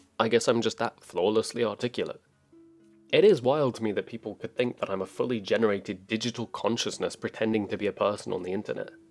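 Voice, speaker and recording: A man speaks very quickly while music plays behind him. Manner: calm.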